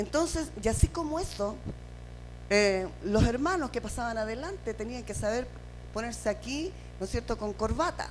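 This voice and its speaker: A woman with a Chilean accent, amid audible room echo. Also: moderate pace. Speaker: pastor. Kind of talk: sermon.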